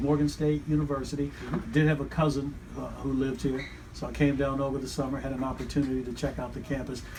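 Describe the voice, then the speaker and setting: Amid noticeable background noise, a man with an American accent talks at a very fast pace in a fairly high, monotone, flat voice. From Pennsylvania. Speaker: radio broadcaster, radio voice of a university's sports teams. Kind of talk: interview answer, personal career story.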